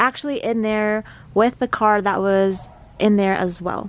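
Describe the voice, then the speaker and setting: A woman speaks at a fairly slow pace with fairly even intonation. The sound is dry, with no echo. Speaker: vlogger decluttering her parents' garage. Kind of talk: casual vlog chat. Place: garage. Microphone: phone near.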